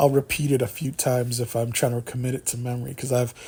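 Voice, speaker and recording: Somewhat breathy, the man speaks in a dark, mellow tone. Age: 40s. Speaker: solo radio-style YouTube host. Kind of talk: casual solo talk show monologue. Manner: halting, many repetitions and fillers; stutters and stammers at times.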